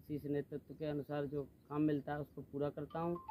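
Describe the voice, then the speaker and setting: A man talks in a dark, mellow tone. His pitch is fairly high. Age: 20s. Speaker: local party worker. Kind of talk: interview. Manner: formal.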